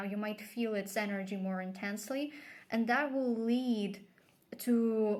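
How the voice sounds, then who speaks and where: A woman with a non-native accent talks at a fairly slow pace. Her pitch sits fairly high, and her intonation stays fairly even. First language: not English. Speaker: tarot reader. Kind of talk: tarot reading. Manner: casual, with fillers and hesitations.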